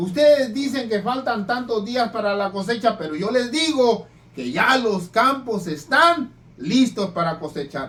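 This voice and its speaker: A man with a high pitch, lively intonation and very slow pace. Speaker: preacher. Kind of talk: sermon. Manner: stutters when reading; rough, plain speech.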